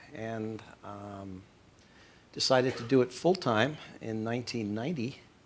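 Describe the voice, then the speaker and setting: This man has an American accent and a medium pitch, with ordinary pitch variation. He talks at a fairly slow pace, his loudness swinging widely between long, frequent pauses. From England. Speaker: landscape photographer. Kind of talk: panel interview.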